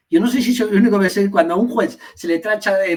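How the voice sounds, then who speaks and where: A man speaks with an Asturian accent at a fairly quick pace. His pitch is high. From Asturias, Spain (Gijón). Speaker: party leader and teacher. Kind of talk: interview. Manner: halting, many fillers and repetitions.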